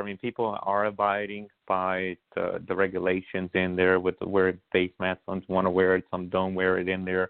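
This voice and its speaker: A man speaks with a very deep, low pitch. His pace is moderate, with hardly any pauses. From Brooklyn, New York; born in Honduras. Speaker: congressional candidate. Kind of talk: interview. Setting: phone call.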